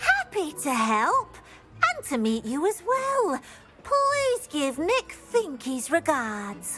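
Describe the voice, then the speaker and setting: In a put-on character voice, the speaker talks at a very slow pace in a high pitch with very wide pitch swings. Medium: video game. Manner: refers to self in third person, eager.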